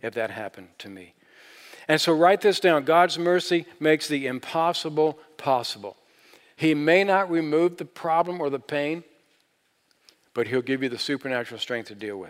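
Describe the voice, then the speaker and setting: With big swings in loudness and lively intonation, a man with a fairly high pitch speaks at a moderate pace. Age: 60s. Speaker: pastor. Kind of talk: sermon. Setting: church. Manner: animated.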